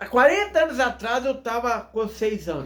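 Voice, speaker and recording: In a room with audible echo, a man talks at a fairly slow pace with lively intonation and an animated tone. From Minas Gerais, Brazil. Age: 40s. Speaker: pastor. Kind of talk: sermon.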